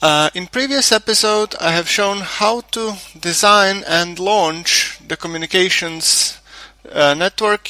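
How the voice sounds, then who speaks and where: Heard in a dry, close sound with no echo, a man with a non-native accent talks fairly slowly with ordinary pitch variation. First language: not English. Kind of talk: game tutorial commentary. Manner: stuttering, hesitant.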